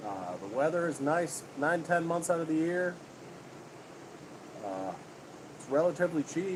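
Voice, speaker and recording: A man with an American accent speaks at a fairly high pitch, with lively intonation, big swings in loudness, and long, frequent pauses. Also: moderate pace. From upstate New York. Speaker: homesteading livestreamer. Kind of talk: casual chat. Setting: livestream.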